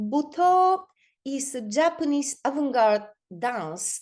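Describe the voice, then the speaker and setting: Very wide pitch swings run through a woman's very slow speech. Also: quiet background. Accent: Bulgarian. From Bulgaria. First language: Bulgarian. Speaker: performance artist. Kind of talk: online talk presentation. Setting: video call. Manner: halting, many fillers and repeats.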